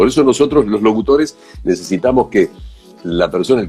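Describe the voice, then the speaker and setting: Music in the background behind a man speaking at a moderate pace. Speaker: national voice announcer, commercial voice-over. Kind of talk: interview answer about voice-over work.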